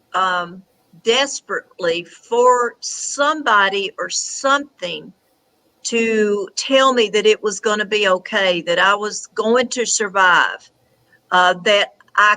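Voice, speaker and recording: A woman's bright, sharp, fairly high voice with a Southern US accent, very slow pace and ordinary pitch variation. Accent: Southern US twang. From Tennessee. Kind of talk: interview answer.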